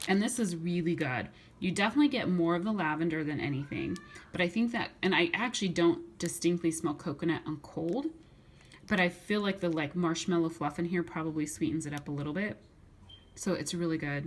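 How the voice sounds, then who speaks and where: A woman speaks at a fairly quick pace. Her voice is fairly low, with ordinary pitch variation. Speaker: YouTuber reviewing wax melts. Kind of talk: haul video. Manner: fast; stumbling over words.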